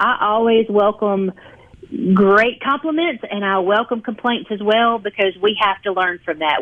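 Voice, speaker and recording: An unremarkable speaking voice with ordinary pitch variation. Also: woman. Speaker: heating and air company representative. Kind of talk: radio interview.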